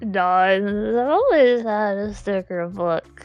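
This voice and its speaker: Faint music sits under a woman's put-on character voice at a medium pitch. She speaks at a very slow pace. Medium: actual play.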